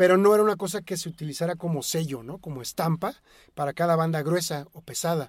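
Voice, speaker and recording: A man with a Mexican accent talks at a very fast pace in a high voice. His loudness swings widely on a very clean recording with a silent background. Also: ordinary pitch variation. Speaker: rock music expert. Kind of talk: casual chat. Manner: halting.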